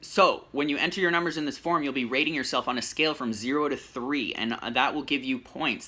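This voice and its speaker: Speaking at a fairly quick pace, a man with a medium pitch has a bright, sharp tone and ordinary pitch variation. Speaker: personal trainer. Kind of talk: program explainer to camera. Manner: fast.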